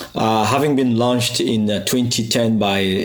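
A man's fairly low voice with ordinary pitch variation, amid noticeable background noise and audible room echo. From Cameroon. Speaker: anthropologist. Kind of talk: recorded reflection. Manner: hesitant, many fillers.

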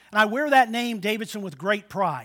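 A man speaks in a high pitch with a raised, projected voice and a bright, sharp tone. The recording is very clean, with a silent background. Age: 60s. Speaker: pastor. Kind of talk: sermon. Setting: church.

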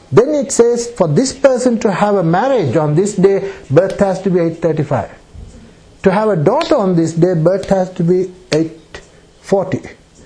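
Against noticeable background noise, a man talks at a fairly slow pace. His high-pitched voice has lively intonation. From Sri Lanka. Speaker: astrologer. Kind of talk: public talk. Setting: room with audience. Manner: halting.

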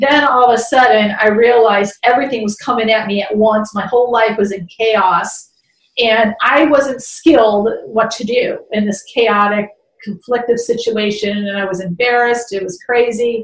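Her voice an unremarkable speaking voice, a woman with an American accent and a fairly high pitch talks at a moderate pace with fairly even intonation. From Chicago, US Midwest. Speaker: business coach. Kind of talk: interview.

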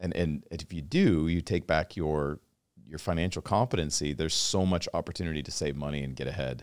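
Very deep and low, a man's voice with an American accent shows vocal fry and ordinary pitch variation. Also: fairly quick pace, very clean recording, silent background. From Washington State. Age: 40s. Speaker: podcast host. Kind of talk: casual interview chat.

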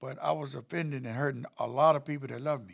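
With vocal fry in his medium-pitched voice, a man talks with ordinary pitch variation. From North Carolina (Chapel Hill). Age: 60s. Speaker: recovery house founder. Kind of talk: interview testimony.

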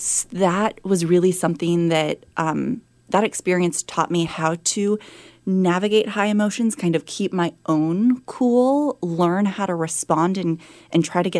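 A woman with an American accent speaks at a fairly slow pace and medium pitch in an unremarkable speaking voice. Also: very clean recording, silent background. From San Francisco, California. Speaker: chief of staff and former executive assistant. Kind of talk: interview conversation. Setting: studio.

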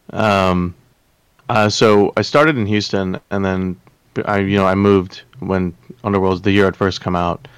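This man has a normal speaking voice with an American accent, a fairly low pitch, fairly even intonation and a moderate pace. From Texas. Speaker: game player. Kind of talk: casual chat.

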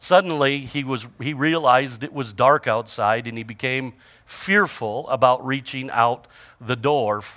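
Ordinary pitch variation over plain reading aloud

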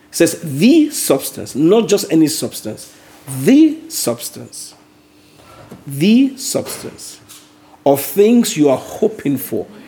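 There is noticeable background noise as a man speaks very slowly. His pitch is high and swings very widely. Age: 50s. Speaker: Bible study leader. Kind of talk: Bible study teaching; prayer.

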